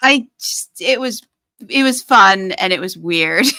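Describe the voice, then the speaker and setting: Raising and projecting her voice, a woman with a New York accent speaks in a bright, sharp tone with very wide pitch swings, in a very clean recording with a silent background. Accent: New York American. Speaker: podcast host and author. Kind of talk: casual chat.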